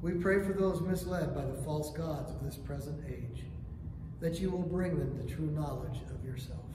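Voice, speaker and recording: A man's voice with noticeable background noise and audible room echo. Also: moderate pace. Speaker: prayer leader. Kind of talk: morning prayer service, liturgical reading. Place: church. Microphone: camera far.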